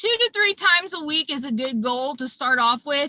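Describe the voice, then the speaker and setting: A woman speaks at a moderate pace in a raised, projected voice, high-pitched with a bright, sharp tone. The sound is dry and close, with no echo. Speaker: public image chair of a service club. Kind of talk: virtual presentation / training. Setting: video call from her car.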